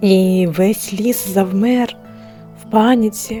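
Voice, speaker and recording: With music in the background, a soft-spoken woman talks at a medium pitch in a monotone, flat intonation. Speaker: storyteller. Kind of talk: bedtime story for adults. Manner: soft, calming.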